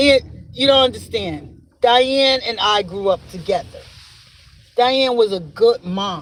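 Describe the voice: He speaks at a fairly slow pace in a high pitch for a man. His tone is fairly bright, and his pitch variation is ordinary.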